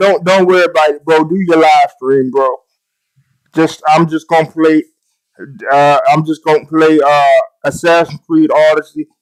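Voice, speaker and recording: A man with a Southern US accent, animated in tone and fairly slow, with ordinary pitch variation, very even loudness, long and frequent pauses, and a dry, close sound with no echo. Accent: Southern US, country. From US South, Mississippi. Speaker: gaming streamer. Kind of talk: live stream tutorial, casual chat. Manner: casual, animated.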